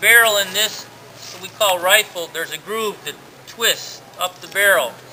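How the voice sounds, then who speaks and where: With noticeable background noise behind him, a man with an American accent speaks at a high pitch and a moderate pace. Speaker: sociology teacher and historical reenactor. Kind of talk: historical presentation to a crowd. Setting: outdoors.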